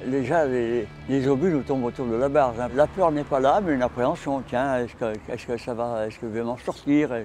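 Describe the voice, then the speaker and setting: Music plays behind a man with a medium pitch and ordinary pitch variation. He talks at a fairly quick pace with hardly any pauses. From Brittany, France. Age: 80s+. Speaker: war veteran. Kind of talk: interview answer.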